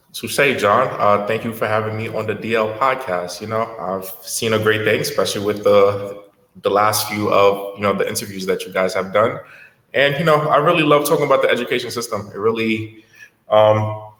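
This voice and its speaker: Audible room echo surrounds a man talking at a fairly quick pace in a fairly low voice. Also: ordinary pitch variation. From Haiti, moved to US at six. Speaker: education entrepreneur, former teacher. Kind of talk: podcast interview.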